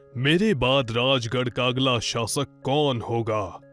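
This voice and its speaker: Behind a man speaking at a medium pitch, music plays in the background. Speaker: voice-over artist. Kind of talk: children's moral story narration. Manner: storytelling, warm.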